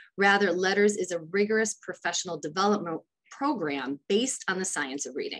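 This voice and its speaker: Fairly quick and full of lively intonation, a woman talks at a medium pitch in an ordinary speaking voice. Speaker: education department specialist. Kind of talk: legislative testimony.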